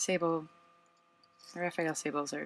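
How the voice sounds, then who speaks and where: Over noticeable background noise, a soft-spoken man talks at a high pitch. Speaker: watercolor painter. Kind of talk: casual supply tour to camera.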